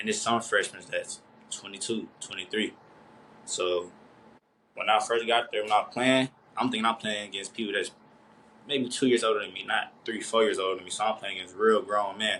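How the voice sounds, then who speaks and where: Speaking at a fairly quick pace with long, frequent pauses, a man uses a bright, sharp tone at a fairly low pitch for a man and fairly even intonation. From Nashville, Tennessee. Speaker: college basketball player. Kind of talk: interview. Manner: fast.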